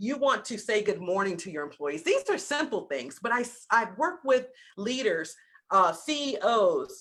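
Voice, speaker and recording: Animated and full of very wide pitch swings, the voice carries vocal fry and a slight Southern US accent. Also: woman, fairly high pitch for a woman, moderate pace. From US South. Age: 50s. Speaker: business coach. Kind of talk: masterclass talk. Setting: video call.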